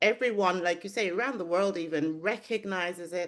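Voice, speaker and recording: Ordinary pitch variation marks a woman speaking at a fairly slow pace. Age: 60s. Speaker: podcast host and midwife. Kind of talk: interview.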